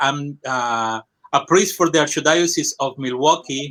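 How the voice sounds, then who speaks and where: Here a man speaks at a moderate pace. His tone is bright and sharp. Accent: Colombian. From Colombia. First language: Spanish. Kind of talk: interview testimony. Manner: halting, many fillers.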